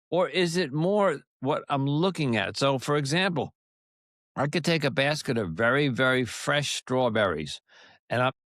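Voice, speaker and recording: A man with an American accent talks at a moderate pace in a fairly high pitch, his intonation lively and his loudness very even. The recording is very clean, with a silent background and a dry, close sound with no echo. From US Northeast (Long Island, New York). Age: 60s. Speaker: podcast host. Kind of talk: interview. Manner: halting, many false starts.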